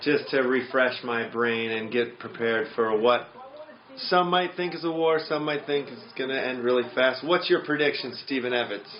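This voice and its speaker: There is noticeable background noise as a man speaks. His pace is moderate and his pitch variation ordinary. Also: medium pitch for a man. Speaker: podcast co-host. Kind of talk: casual chat. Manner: stutters, repeats words.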